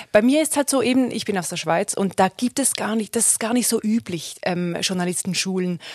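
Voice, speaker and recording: Lively intonation in a Swiss German accent, with hardly any pauses and a dry, close sound with no echo. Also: woman, medium pitch for a woman, fairly quick pace. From Switzerland. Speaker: radio journalist and reportage student. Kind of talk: casual chat. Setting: studio.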